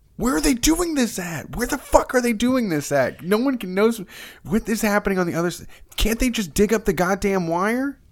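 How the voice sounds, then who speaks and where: Quiet and high-pitched, a man speaks at a moderate pace with lively intonation. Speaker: comedy podcast host. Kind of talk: casual chat. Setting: vacation home. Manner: hushed; animated.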